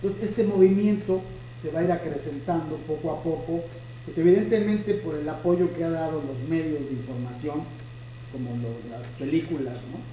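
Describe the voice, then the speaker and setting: In a room with audible echo and noticeable background noise, a man speaks at a moderate pace and fairly high pitch, with ordinary pitch variation and big swings in loudness. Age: 60s. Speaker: chess teacher and video host. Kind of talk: casual chat.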